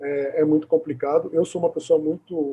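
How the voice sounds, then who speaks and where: The man's fairly high voice stays monotone and flat in intonation. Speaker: video host interviewing a speech therapist. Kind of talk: conversational recap in an interview. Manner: halting, many repeated fillers.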